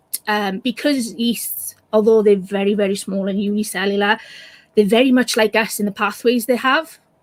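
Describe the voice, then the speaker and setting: A woman with a Welsh accent, fairly high pitch, a somewhat breathy voice, fairly even intonation and a moderate pace. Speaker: science communicator. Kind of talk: casual chat.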